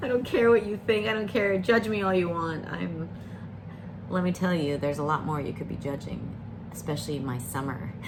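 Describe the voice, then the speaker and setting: A woman's voice with very wide pitch swings, audible room echo and noticeable background noise. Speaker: variety streamer. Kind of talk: casual chat. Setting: live stream. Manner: rambling, hesitant with fillers.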